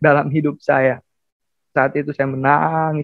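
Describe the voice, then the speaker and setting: A man at a fairly high pitch and moderate pace, monotone and flat in intonation, in a dry sound with no echo. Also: quiet background. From Indonesia, Central Sulawesi (Palu), Bugis family; Central Sulawesi, Indonesia. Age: 20s. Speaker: seminary student, convert; guest. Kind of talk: testimony. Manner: halting. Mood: earnest, emotional testimony. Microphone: earbuds.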